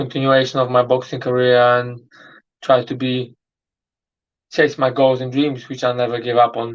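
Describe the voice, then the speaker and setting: Speaking at a fairly slow pace in a Polish accent, a man with medium pitch keeps a monotone, flat intonation. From Poland. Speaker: boxer. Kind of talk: interview.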